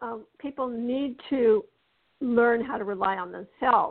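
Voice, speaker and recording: Her voice is a plain, everyday voice, sitting at a fairly high pitch. The woman speaks at a fairly slow pace with ordinary pitch variation. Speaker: spiritual teacher and author. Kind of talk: interview with spiritual instruction.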